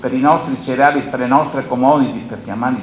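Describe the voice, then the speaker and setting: A man's fairly quick pace comes through audible room echo and noticeable background noise. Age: 70s. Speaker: grain dryer operator and agricultural panelist. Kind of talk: conference panel talk. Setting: conference with audience.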